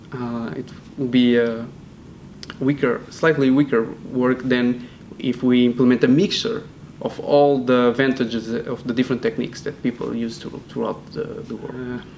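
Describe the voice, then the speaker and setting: A man with a Portuguese accent, medium pitch, monotone flat intonation, a moderate pace and noticeable background noise. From Portugal. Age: 20s. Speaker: PhD student. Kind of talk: interview. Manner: hesitant, many fillers and repeats.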